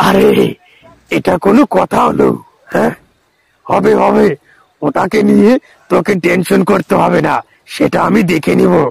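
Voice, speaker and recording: A man performs a raspy, cartoonish character voice at a fairly slow pace. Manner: blustering, overconfident.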